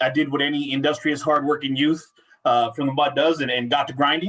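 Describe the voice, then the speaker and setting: Speaking with a Spanish accent, a man has a fairly high pitch. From Central Washington, US. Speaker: workforce business consultant. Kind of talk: casual interview chat.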